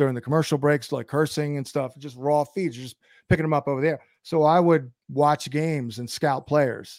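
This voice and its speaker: A man with a plain, everyday voice, fairly high in pitch, talks at a fairly quick pace with fairly even intonation, recorded very cleanly against a silent background in a dry, close sound with no echo. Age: 50s. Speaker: fantasy football analyst. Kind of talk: podcast interview.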